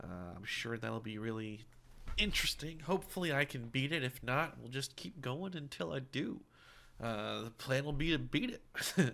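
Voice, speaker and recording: A man's medium-pitched voice with a bright, sharp tone and vocal fry, lively intonation, big swings in loudness and a moderate pace. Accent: American. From US, mixed northern and southern area. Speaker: gaming streamer. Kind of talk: live gameplay stream chat. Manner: casual, many filler words.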